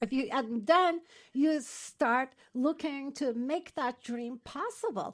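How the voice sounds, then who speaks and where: A woman with a Turkish accent speaks very slowly in a high voice, her intonation lively. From Turkey. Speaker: matchmaker and dating coach. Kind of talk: interview.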